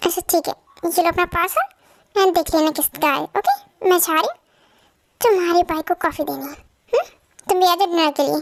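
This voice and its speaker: In a put-on character voice that sounds female, the speaker talks at a fairly quick pace in a squeaky, extremely high pitch. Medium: fan dub. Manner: warm, casual.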